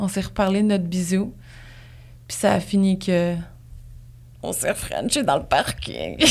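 The woman's pitch is medium and varies in an ordinary way. She talks at a fairly slow pace. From Gaspésie, Quebec. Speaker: podcaster. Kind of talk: casual chat.

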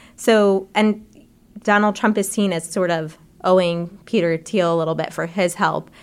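A woman with a normal speaking voice talks at medium pitch and a moderate pace with fairly even intonation, on a very clean recording with a silent background. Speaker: health policy reporter. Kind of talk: interview discussion.

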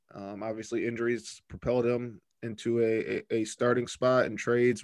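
A man with an American accent and a medium pitch speaks at a fairly quick pace. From Michigan, Flint. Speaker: basketball beat writer. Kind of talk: podcast interview. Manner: halting, many fillers.

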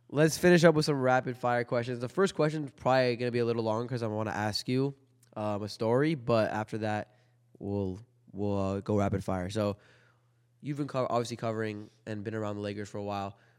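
A man with an unremarkable speaking voice and medium pitch talks fairly quickly, varying his pitch in an ordinary way. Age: 20s. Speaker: podcast host. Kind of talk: casual interview.

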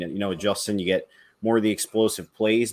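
Over a very clean recording with a silent background, a man speaks at a fairly low pitch and a fairly quick pace. He has an ordinary speaking voice. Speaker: podcast host. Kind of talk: casual sports discussion.

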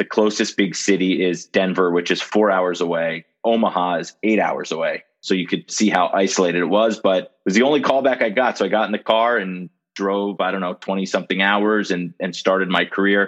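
A man with an American accent at a fairly quick pace, fairly even intonation, hardly any pauses. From Miami, Florida. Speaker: sports media executive, former TV sportscaster. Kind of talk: interview.

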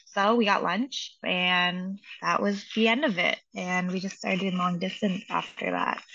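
Using a normal speaking voice, a woman talks at a fairly slow pace and medium pitch with fairly even intonation. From US Pacific Northwest, Seattle. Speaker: coach's wife. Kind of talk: interview.

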